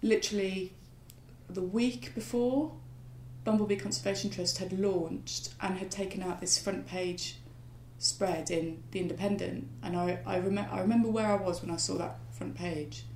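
A woman at a moderate pace, with audible room echo. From West Midlands, England (Solihull, near Birmingham). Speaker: wildlife gardener and writer. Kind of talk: casual interview conversation. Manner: hesitant, many fillers and restarts.

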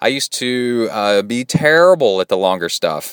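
With a Texas accent, a man speaks at a medium pitch with lively intonation in a dry, close sound with no echo. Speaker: podcast host and triathlete. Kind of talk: casual solo podcast talk. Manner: animated.

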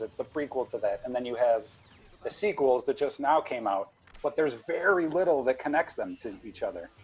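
His voice is an unremarkable speaking voice. The man keeps a fairly quick pace, and his pitch varies in an ordinary way. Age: 40s. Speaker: underground film screening organizer. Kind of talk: casual chat.

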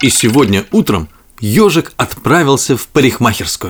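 This man's medium-pitched voice has a slightly husky edge and big pitch swings, moving at a moderate pace.

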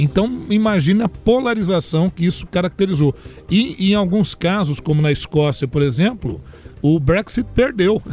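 Lively intonation at a moderate pace, with very even loudness. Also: man, high pitch for a man. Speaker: history professor and commentator. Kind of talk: radio news analysis.

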